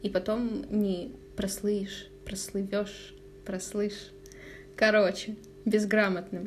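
In a room with audible echo, a woman with a medium-pitched voice speaks very slowly in a flat monotone, leaving long, frequent pauses. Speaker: advertising manager at news outlet. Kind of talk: casual chat. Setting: at her home.

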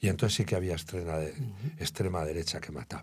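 Somewhat breathy speech with ordinary pitch variation. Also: man. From Spain, Guadalajara. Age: 70s. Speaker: journalist and writer. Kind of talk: interview.

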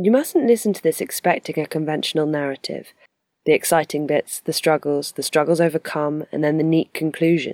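Her very deep, low pitch moves with ordinary variation as the woman speaks at a fairly quick pace, the sound dry and close with no echo on a very clean recording over a silent background. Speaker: podcast host. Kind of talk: scripted narration.

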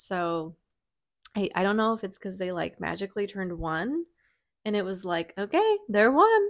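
In a very clean recording with a silent background, a woman uses a normal speaking voice at medium pitch, moderate pace and ordinary pitch variation. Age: 30s. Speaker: podcast host, mother of twins. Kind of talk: casual chat.

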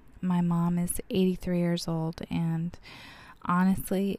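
A woman with an American accent, a fairly low, somewhat breathy voice, a dark, mellow tone, flat, monotone intonation and a fairly slow pace. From Arizona (Bullhead City). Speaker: podcast host, city council member. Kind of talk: solo podcast monologue.

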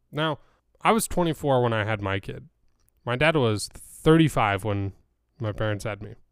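Speaking in a medium pitch at a moderate pace, a man uses lively intonation with long, frequent pauses. The recording is very clean, with a silent background. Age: 20s. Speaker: podcast host. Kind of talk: solo casual monologue.

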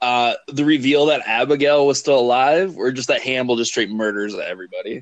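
This is an ordinary speaking voice from a man. His pitch is medium and varies in an ordinary way. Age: 30s. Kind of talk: casual chat.

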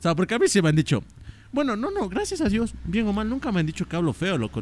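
With an Ecuadorian accent, a man is speaking. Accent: Ecuadorian accent, liked by co-host. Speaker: podcast co-host, TikToker. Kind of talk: casual chat. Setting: at home. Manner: animated.

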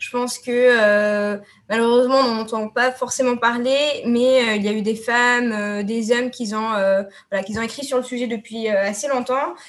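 Against a quiet background, a woman speaks at a fairly slow pace in a monotone, flat intonation with a fairly high pitch. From Tunisia. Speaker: student. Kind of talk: panel discussion.

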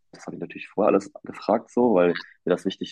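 A man talks at a very fast pace with a very deep, low pitch. His tone is dark and mellow against a quiet background. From northern Germany, near Münster. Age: 20s. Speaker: male model and student. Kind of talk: interview. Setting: remote call. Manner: halting, many fillers.

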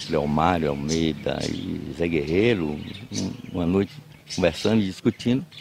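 Noticeable background noise runs under a man's very deep, low voice. He speaks at a fairly slow pace. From Bahia, Brazil (Cruz das Almas). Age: 80s+. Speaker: agronomist and writer. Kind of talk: interview. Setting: at home. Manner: halting.

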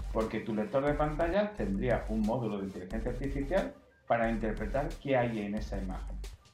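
Background music runs throughout. Over it, a man speaks at a fairly quick pace. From Spain. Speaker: software engineer. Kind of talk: interview.

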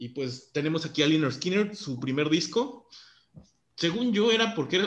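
Speaking with a Mexican accent, a man uses a fairly high pitch, very wide pitch swings and a somewhat breathy voice at a moderate pace, with audible room echo. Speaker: podcast host. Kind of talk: casual chat.

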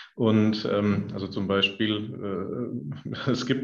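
A man with a Middle Franconian accent, medium pitch and ordinary pitch variation, with audible room echo. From Middle Franconia, Bavaria. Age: 40s. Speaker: company founder. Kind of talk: podcast interview.

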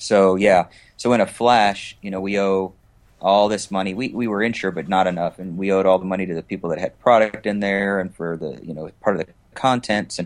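A man with an American accent and an unremarkable speaking voice talks at a fairly quick pace in a fairly low pitch, his intonation fairly even but his loudness swinging widely, on a very clean recording with a silent background. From US West Coast. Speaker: entrepreneur. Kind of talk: interview.

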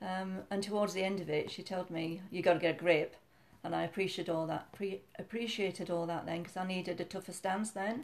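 In a Yorkshire accent, a woman talks fairly quickly at medium pitch with fairly even intonation. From Yorkshire, northern England. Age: 60s. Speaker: mother, retired fitness instructor. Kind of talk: casual chat, interview with daughter or son.

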